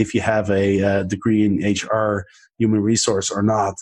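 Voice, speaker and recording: A man with a fairly low voice talks over a quiet background. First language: not English. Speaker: podcast host and author. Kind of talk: casual chat.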